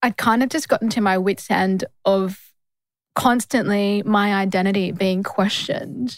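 Speaking in an Australian accent, a woman uses a medium pitch with ordinary pitch variation at a fairly slow pace. Her loudness stays very even in a dry, close sound with no echo. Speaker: lawyer and podcast co-host. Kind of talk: casual chat. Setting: studio.

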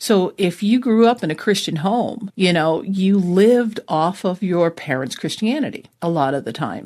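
With an American accent and an unremarkable speaking voice, a woman at medium pitch talks at a moderate pace with lively intonation and hardly any pauses. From New Jersey, US. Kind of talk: testimony.

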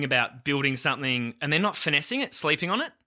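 A bright, sharp tone with an Australian accent over a quiet background. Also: man. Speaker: radio producer and podcast host. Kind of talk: casual chat.

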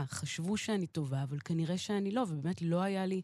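A woman talks at a fairly quick pace with a fairly low pitch. Her tone is dark and mellow, and her intonation is lively. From Israel, partly raised in Queens, New York. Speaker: jazz pianist and singer-songwriter. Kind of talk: interview.

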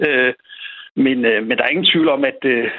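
With fairly even intonation, the man delivers his words at a fairly slow pace. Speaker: sports lawyer. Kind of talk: interview. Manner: halting, repeats words.

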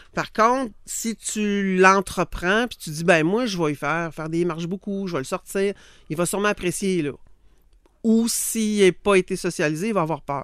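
A woman in a Quebec accent, medium pitch, ordinary pitch variation, moderate pace, big swings in loudness, and a very clean recording with a silent background. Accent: Québécois French. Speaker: dog behaviour and training expert. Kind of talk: casual expert chat.

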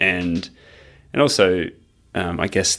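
This man's pitch is very deep and low, captured on a very clean recording against a silent background. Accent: Australian. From Australia. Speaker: trail runner. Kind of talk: casual interview conversation. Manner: halting, many fillers.

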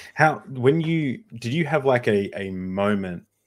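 This man speaks with an Australian accent. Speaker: podcast host. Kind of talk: casual chat. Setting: video call.

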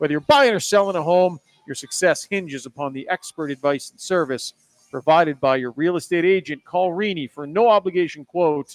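A man with a Canadian accent at a fairly quick pace, with ordinary pitch variation, big swings in loudness and a dry, close sound with no echo. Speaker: hockey podcast host. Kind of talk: live postgame sports talk. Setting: live at a bar with crowd.

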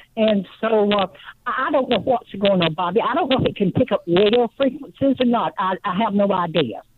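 A woman talks at a moderate pace in a fairly high voice, her intonation lively, while noticeable background noise plays behind her. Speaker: caller. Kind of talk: call-in talk radio. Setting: phone call. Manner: halting.

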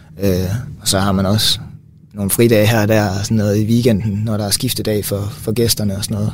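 A man speaks fairly quickly in a fairly low pitch. His intonation is flat and monotone, with audible room echo. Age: 20s. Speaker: physiotherapy student. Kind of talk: casual chat. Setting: studio.

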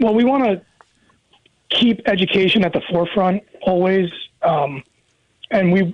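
Speaking with an American accent, a man uses a high pitch. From Maryland, Frederick County. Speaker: high school athletic director. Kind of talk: radio interview.

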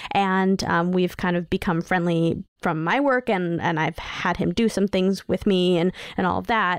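In an American accent, a plain, everyday voice speaks at a moderate pace with fairly even intonation, very even loudness and hardly any pauses, with a dry, close sound, no echo and a quiet background. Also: woman, medium pitch for a woman. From New York City. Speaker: children's media creator and podcaster. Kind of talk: casual chat.

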